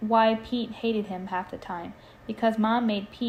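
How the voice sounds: The speaker reads in a natural reading voice. Fairly even intonation carries through.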